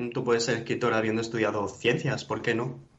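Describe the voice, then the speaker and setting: A man is speaking. Room echo is audible. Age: 20s. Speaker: poet. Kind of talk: interview conversation. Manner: halting, many fillers.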